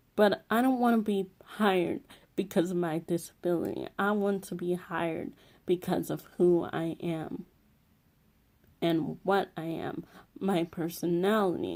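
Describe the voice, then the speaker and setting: Here a woman speaks at a fairly low pitch. Her pitch varies in an ordinary way. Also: fairly slow pace. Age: 20s. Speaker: vlogger. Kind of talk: motivational talk to camera.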